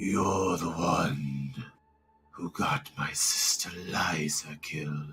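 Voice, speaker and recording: Over faint music in the background, a man in a put-on character voice growls and booms at a very slow pace, his pitch very deep and low. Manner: accusing.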